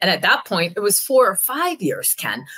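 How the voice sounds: At a moderate pace, a woman talks with a fairly bright tone and a slightly husky edge.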